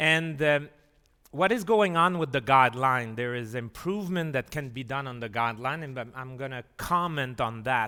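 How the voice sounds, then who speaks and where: A man with a French Canadian accent speaks at a moderate pace and medium pitch, with ordinary pitch variation. His loudness swings widely on a very clean recording with a silent background. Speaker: physician and professor. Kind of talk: lecture. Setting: conference hall with audience and translation. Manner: halting, many fillers.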